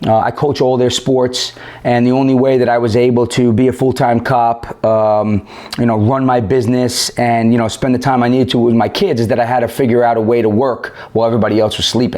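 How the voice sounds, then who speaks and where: A man with a New York accent speaks at a fairly quick pace and medium pitch, with noticeable background noise behind him. His intonation is flat and monotone, his loudness very even. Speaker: police officer. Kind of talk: podcast interview. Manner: halting.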